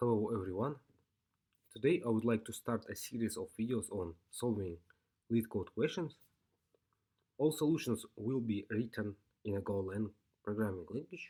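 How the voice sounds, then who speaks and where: A man with a non-native accent speaks at a moderate pace, leaving long, frequent pauses. His medium-pitched voice has a dark, mellow tone and ordinary pitch variation on a very clean recording with a silent background. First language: not English. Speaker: programming tutor. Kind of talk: tutorial. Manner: halting.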